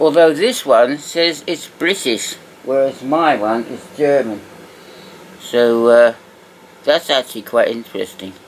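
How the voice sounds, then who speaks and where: In a relaxed tone, a man talks at a fairly slow pace with a fairly high pitch and ordinary pitch variation. He leaves long, frequent pauses, and noticeable background noise is present. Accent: English. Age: 60s. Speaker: toy collector video host. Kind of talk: casual show-and-tell commentary. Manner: relaxed, hesitant with fillers.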